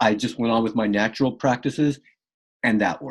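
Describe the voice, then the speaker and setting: A man talks in an American accent, his pitch moving in an ordinary way. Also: quiet background. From California. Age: 60s. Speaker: martial arts and fitness trainer. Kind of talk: interview conversation. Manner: halting, with many fillers.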